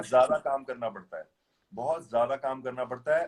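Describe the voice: A man with a normal speaking voice at a medium pitch.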